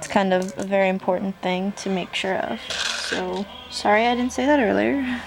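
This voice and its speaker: Over noticeable background noise, a woman's intonation stays lively. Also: medium pitch for a woman, moderate pace. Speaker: craft tutorial vlogger. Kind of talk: tutorial. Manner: hesitant, many ums.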